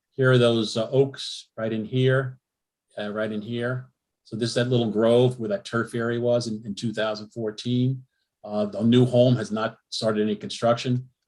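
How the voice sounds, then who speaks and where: Speaking at a medium pitch, the man keeps a monotone, flat intonation. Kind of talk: public meeting presentation. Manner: fast.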